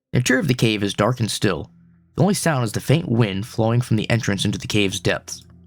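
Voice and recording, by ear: Someone is reading aloud in a natural voice. Pitch varies in an ordinary way.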